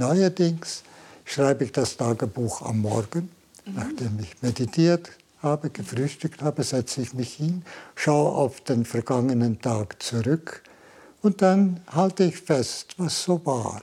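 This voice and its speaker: Very slowly and somewhat breathy, a man speaks in a dark, mellow tone at a fairly high pitch with lively intonation, on a very clean recording with a silent background. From Switzerland, Valais. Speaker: Jesuit priest and Zen master. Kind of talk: interview. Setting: meditation room.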